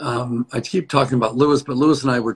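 A man with an unremarkable speaking voice, medium pitch, ordinary pitch variation and a fairly quick pace. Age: 60s. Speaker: dentist. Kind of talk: casual interview. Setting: video call.

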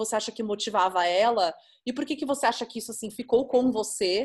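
Ordinary pitch variation at a fairly quick pace. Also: woman. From São Paulo, Brazil. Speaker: podcast host, photographer. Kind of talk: interview.

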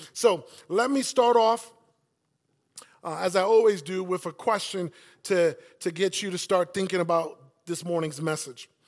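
A man with a New York accent speaks at a moderate pace in a high voice, with ordinary pitch variation and long, frequent pauses. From South Bronx, New York City. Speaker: campus pastor. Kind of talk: sermon. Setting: church. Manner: animated.

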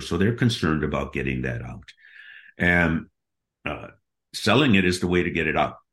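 On a very clean recording with a silent background, a man with an American accent speaks at a moderate pace in a very deep, low voice with vocal fry. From US Midwest, Milwaukee, Wisconsin. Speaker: business acquisition consultant. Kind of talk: interview.

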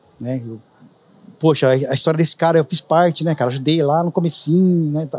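This man speaks at a fairly quick pace and fairly high pitch. His intonation stays fairly even. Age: 50s. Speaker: juice street vendor, former bank employee. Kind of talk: casual interview chat. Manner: talkative.

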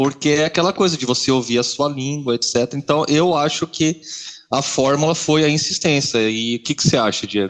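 A man with an ordinary speaking voice talks at a moderate pace. His pitch is fairly high, with ordinary variation. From Brazil, Marília (São Paulo state interior). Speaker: software engineer, podcast co-host. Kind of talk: casual chat.

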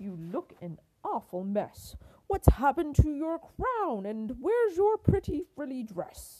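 Slowly, a put-on character voice with a dark, mellow tone swings widely in pitch. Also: woman, high pitch for a woman.

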